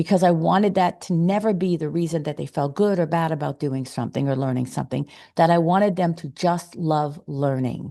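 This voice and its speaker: Fairly quick pace from a woman with a dark, mellow tone and ordinary pitch variation. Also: fairly low pitch for a woman. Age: 60s. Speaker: parenting podcast host. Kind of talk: podcast interview. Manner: halting.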